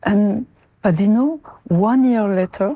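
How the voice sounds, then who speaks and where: With a French accent, a woman speaks in a dark, mellow tone with lively intonation. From France (Marseille). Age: 70s. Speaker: mother of a prisoner, interview guest. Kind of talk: interview. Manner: halting.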